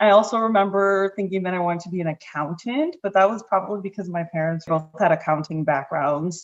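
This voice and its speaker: A woman uses a normal speaking voice at a medium pitch with ordinary pitch variation. Her pace is fairly quick. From Connecticut, Hartford area (born in Puerto Rico). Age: 30s. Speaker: life and business coach. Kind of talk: podcast interview. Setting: podcast.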